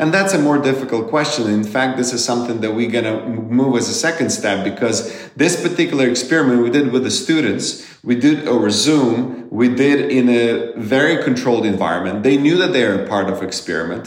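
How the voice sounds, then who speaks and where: A man at medium pitch talking fairly quickly with hardly any pauses, ordinary pitch variation and noticeable background noise. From Ukraine. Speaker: economist. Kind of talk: interview.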